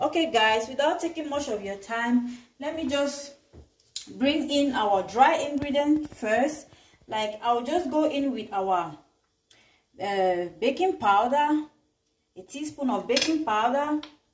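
A woman's high voice at a very slow pace, with long, frequent pauses and audible room echo. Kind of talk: cooking tutorial. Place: kitchen. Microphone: camera far.

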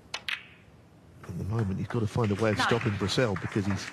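A man with a fairly low voice speaks at a moderate pace. His intonation stays fairly even, with noticeable background noise. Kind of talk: live sports commentary. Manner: measured, conversational expert analysis.

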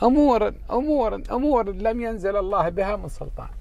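A man talks at a fairly slow pace. The sound is dry, with no echo. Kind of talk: casual vlog chat. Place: car. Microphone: earbuds.

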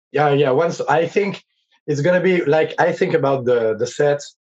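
Against a quiet background, a man speaks with a French accent. His pace is fairly slow and his intonation lively. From France. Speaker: rock vocalist; guest. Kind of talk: interview. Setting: video call. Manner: halting. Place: home room.

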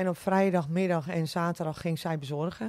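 Her fairly low-pitched voice has a dark, mellow tone, as this woman speaks with fairly even intonation and a dry sound with no echo over a quiet background. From West Friesland, Netherlands (Oude Niedorp); West Friesland. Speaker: restaurant owner; podcast guest. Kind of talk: casual interview. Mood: cheerful, smiling. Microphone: studio mic.

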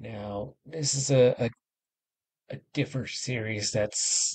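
A man speaks at a very slow pace in a somewhat breathy voice, with ordinary pitch variation over a quiet background. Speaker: reaction video host. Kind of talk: casual vlog chat.

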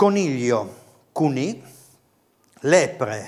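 A man at a fairly high pitch, making very wide pitch swings over a quiet background. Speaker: dialect course host. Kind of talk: TV dialect lesson. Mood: friendly, lightly humorous. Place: studio. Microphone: lapel.

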